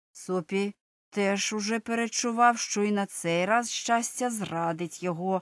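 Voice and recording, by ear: Someone reads aloud in a natural voice with ordinary pitch variation. The background stays quiet.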